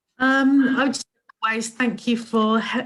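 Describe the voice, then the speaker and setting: Somewhat breathy and monotone, with flat intonation, a woman speaks at a moderate pace. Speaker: digital marketing presenter. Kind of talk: webinar closing remarks.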